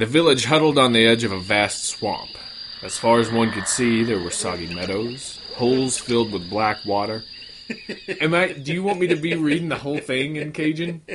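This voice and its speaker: A medium-pitched man speaks with lively intonation at a moderate pace. Noticeable background noise runs underneath. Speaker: podcast host. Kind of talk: casual comedic banter.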